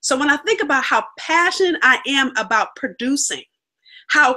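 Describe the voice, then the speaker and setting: A woman speaks in a raised, projected voice, high-pitched with a bright, sharp tone. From California. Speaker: business coach. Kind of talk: interview.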